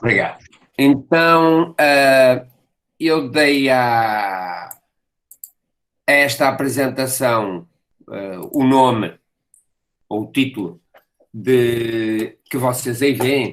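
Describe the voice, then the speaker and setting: A man with a medium-pitched voice speaks at a very slow pace, using long, frequent pauses. His pitch varies in an ordinary way. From Portugal. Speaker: professor. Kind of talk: lecture. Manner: halting, with frequent fillers and repetitions.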